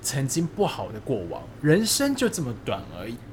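With very wide swings in pitch, a man talks in a fairly high voice. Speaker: podcast co-host. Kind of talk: casual chat.

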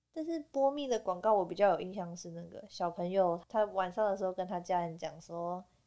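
A woman with a Taiwanese accent speaks at a fairly quick pace with hardly any pauses, her loudness swinging widely. Her tone is dark and mellow, with ordinary pitch variation. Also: medium pitch for a woman. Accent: Taiwanese Mandarin. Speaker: podcast co-host. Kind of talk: casual chat.

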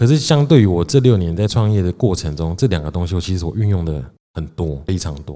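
Very fast and lively in intonation, a man speaks in a very deep, low voice with a dark, mellow tone. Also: very clean recording, silent background. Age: 30s. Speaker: podcast host, small business owner. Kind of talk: casual chat. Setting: home-built studio.

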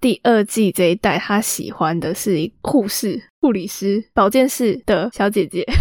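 A woman's normal speaking voice at medium pitch, fairly slow with hardly any pauses, ordinary pitch variation, and a dry, close sound with no echo. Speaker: podcast host. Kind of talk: casual chat.

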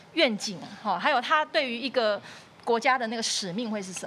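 Over noticeable background noise, a woman talks very fast with lively intonation and a fairly high pitch. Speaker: podcast host, music teacher. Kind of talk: interview. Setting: studio.

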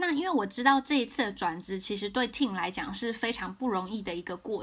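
This woman speaks at a fairly quick pace. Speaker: career consultant podcast host. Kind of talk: casual interview chat. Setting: remote recording.

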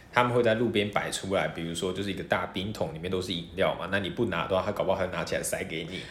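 A man with a very deep, low pitch speaks very fast, with fairly even intonation and hardly any pauses. Noticeable background noise and audible room echo are present. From Taiwan, half Hokkien half mainlander family. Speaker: university student. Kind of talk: casual interview.

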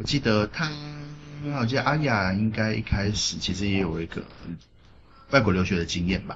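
A man's fairly low voice at a moderate pace, with ordinary pitch variation, long, frequent pauses and noticeable background noise. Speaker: podcast co-host. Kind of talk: casual chat. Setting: café in a second-hand bookstore.

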